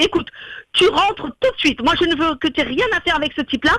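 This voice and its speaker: A woman shouts in a put-on character voice at an extremely high pitch, hoarse, with lively intonation and a very fast pace. The sound is dry and close with no echo. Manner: shouting.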